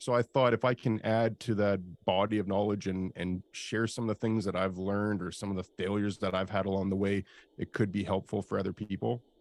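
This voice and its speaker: On a very clean recording with a silent background and a dry, close sound with no echo, a man with a Canadian accent talks at a fairly quick pace and a fairly low pitch with monotone, flat intonation. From Canada. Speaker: industrial real estate broker and YouTuber. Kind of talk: interview. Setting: live video stream.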